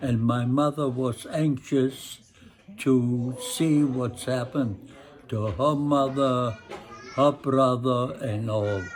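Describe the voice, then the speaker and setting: Over music in the background, a man talks at a very slow pace with medium pitch and fairly even intonation. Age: 80s+. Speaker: Holocaust survivor. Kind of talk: interview answer.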